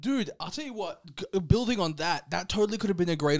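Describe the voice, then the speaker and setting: A man with an Australian accent talks at a very fast pace, his pitch swinging very widely. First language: Serbian. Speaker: podcast co-host.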